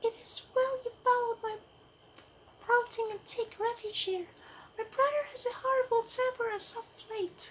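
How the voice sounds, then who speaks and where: Squeaky and put-on, this character voice moves at a moderate pace with long, frequent pauses. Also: man, extremely high pitch for a man. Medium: solo performance. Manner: smooth, silky, coaxing.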